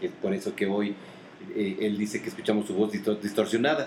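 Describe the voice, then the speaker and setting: A man talks very fast with a Mexican accent and ordinary pitch variation. Background noise is noticeable. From Mexico. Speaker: podcast co-host. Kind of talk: casual chat.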